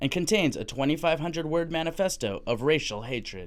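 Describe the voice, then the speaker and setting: A man speaks at a fairly quick pace with a fairly high pitch and vocal fry. The recording is very clean, with a silent background. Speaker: news anchor and TV reporter. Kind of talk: TV news anchoring and field reporting.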